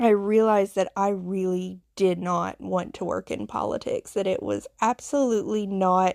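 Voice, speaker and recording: On a very clean recording with a silent background and a dry, close sound with no echo, a woman with a Southern US accent speaks fairly slowly at a medium pitch with fairly even intonation. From US South, Appalachian foothills. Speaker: podcast host, nurse. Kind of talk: personal storytelling monologue. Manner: hesitant with fillers.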